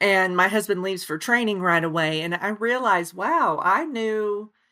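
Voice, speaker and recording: A bright, sharp woman's voice with a slight Oklahoma accent, medium-pitched and fairly slow, with ordinary pitch variation, on a very clean recording with a silent background. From Oklahoma, Osage County. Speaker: author. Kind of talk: interview. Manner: many fillers, hesitant.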